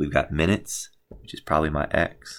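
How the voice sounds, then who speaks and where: This man's recording is very clean, with a silent background. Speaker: math teacher. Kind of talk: tutorial. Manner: fast.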